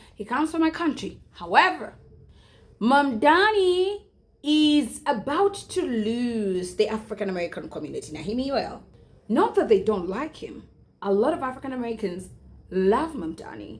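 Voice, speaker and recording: Over music in the background, a woman speaks at a high pitch and a moderate pace, with very wide pitch swings and big swings in loudness. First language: not English. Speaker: YouTuber. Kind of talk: commentary vlog.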